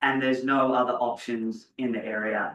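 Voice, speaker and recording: Medium pitch from a man's voice. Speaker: housing developer. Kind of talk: presentation at a board meeting.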